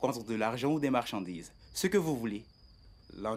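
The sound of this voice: An unforced reading voice is heard in this clip.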